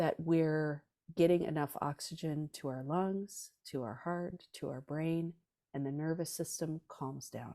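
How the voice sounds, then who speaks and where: Speaking with an American accent, a woman has a very deep, low pitch and a dark, mellow tone, going at a fairly slow pace with fairly even intonation. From Southern California. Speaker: rock drummer and meditation teacher. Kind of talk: interview with guided meditation instructions. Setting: podcast interview. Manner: soft-spoken, gentle.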